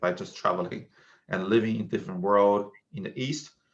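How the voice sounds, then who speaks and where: Here is a man with a Chinese accent. His pitch sits fairly low. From China. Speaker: tech startup founder. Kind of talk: casual interview conversation.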